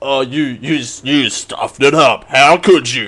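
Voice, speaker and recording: A man puts on a character voice with a fairly high pitch. He speaks very slowly. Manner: dramatic, mocking.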